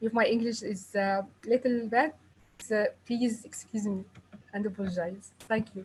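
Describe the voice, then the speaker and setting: A woman with an Arabic accent speaks at a moderate pace with long, frequent pauses, her fairly high, somewhat breathy voice keeping a fairly even intonation. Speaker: pediatrician. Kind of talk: presentation.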